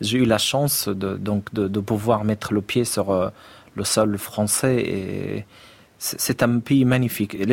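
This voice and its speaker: This man speaks very slowly with an Arabic accent. His pitch is fairly low and his intonation fairly even. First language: Arabic (speaking French). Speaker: poet. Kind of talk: interview. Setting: studio. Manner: halting.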